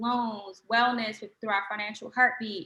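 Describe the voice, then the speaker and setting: This woman speaks in an American accent at a fairly high pitch. Her intonation is monotone and flat. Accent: twang. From Washington, D.C. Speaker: social media manager. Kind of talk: webinar presentation.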